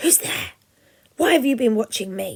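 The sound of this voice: This is a put-on character voice at a fairly high pitch. It comes out hissing.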